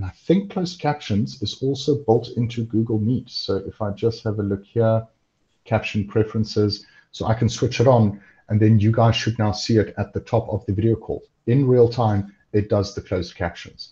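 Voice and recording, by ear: At a moderate pace, a man speaks with a fairly low pitch, ordinary pitch variation, a slightly husky edge and a dark, mellow tone.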